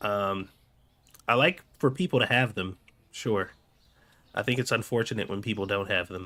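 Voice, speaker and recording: A man with a fairly low pitch and a bright, sharp tone speaks at a moderate pace with ordinary pitch variation. He leaves long, frequent pauses. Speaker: gaming streamer. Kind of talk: live-stream gameplay chat.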